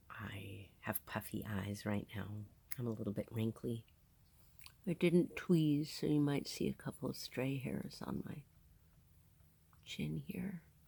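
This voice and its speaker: A woman with a very deep, low pitch and vocal fry speaks at a fairly slow pace, her pitch swinging very widely between long, frequent pauses. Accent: American. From New Jersey, US. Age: 50s. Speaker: video podcaster. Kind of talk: casual monologue. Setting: on a sailboat in a marina.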